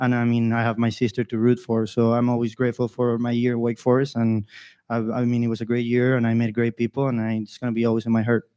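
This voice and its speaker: In a Spanish accent, a man with a medium pitch and a dark, mellow tone talks at a very fast pace in a monotone, flat delivery, recorded dry and close with no echo against a quiet background. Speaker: college golfer. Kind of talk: interview.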